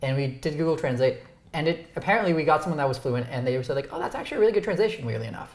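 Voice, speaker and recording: Talking at a very fast clip, a man with a Canadian accent has a fairly high pitch for a man. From Ontario, Canada. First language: Romanian. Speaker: YouTuber, interview show host. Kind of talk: casual chat. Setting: dinner at home.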